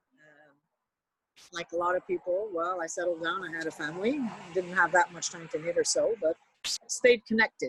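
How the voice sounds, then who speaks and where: A woman with a Quebec accent talks at a moderate pace in a fairly low pitch, with ordinary pitch variation. Her loudness swings widely, and the sound is dry and close with no echo. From Montreal, Quebec. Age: 60s. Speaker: retired knitting teacher. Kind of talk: casual interview chat. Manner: halting, with many fillers.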